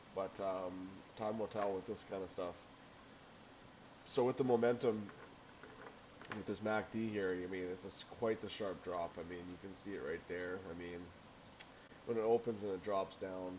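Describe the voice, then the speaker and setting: Mumbling at a fairly low pitch, a man keeps a moderate pace and fairly even intonation, with long, frequent pauses. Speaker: amateur stock trader. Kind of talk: screen-share market analysis. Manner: halting.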